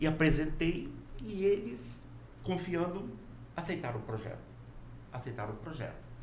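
A fairly high-pitched man at a fairly slow pace, long, frequent pauses, audible room echo and noticeable background noise. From Brazil, Rondônia (Porto Velho), born in Minas Gerais. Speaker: engineer and professor. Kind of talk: casual interview chat.

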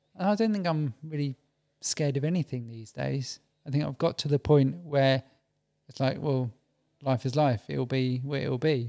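With an English accent, a man of fairly high pitch and a dark, mellow tone speaks at a moderate pace with ordinary pitch variation in a dry, close sound with no echo. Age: 40s. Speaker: podcast guest. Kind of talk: casual chat. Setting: studio.

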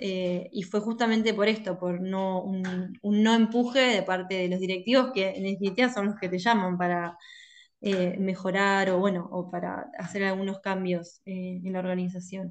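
Someone with a Rioplatense accent speaks at a moderate pace with fairly even intonation over a quiet background. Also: woman, medium pitch for a woman. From Argentina, La Plata. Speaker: industrial engineer and consultant. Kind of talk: interview. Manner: hesitant, many fillers.

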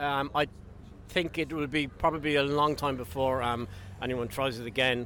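Bright and sharp in tone, a man's fairly high voice carries an Irish accent. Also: ordinary pitch variation, moderate pace. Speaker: interviewed member of the public. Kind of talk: street interview.

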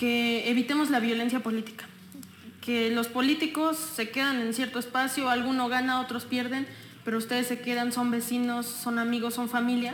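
At a moderate pace and high pitch, a woman speaks in a monotone, flat intonation with very even loudness, amid noticeable background noise and audible room echo. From Mexico, Texcoco. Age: 20s. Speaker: political candidate. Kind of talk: casual interview.

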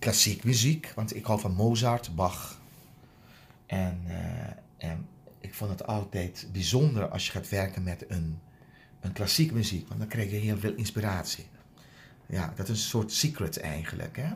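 The speech moves at a fairly slow pace with long, frequent pauses. The voice sounds somewhat breathy. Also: man, fairly low pitch for a man, ordinary pitch variation. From Aruba. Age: 50s. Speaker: dental hygienist. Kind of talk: interview. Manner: halting.

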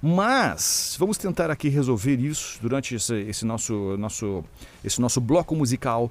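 A man speaks in a plain, everyday voice at a medium pitch. His delivery is moderately paced with lively intonation. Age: 30s. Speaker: DJ and radio host. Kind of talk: casual chat.

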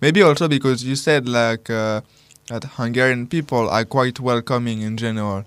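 Music in the background behind a man at a medium pitch and moderate pace. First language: French. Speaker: radio co-host. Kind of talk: casual chat. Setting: studio.

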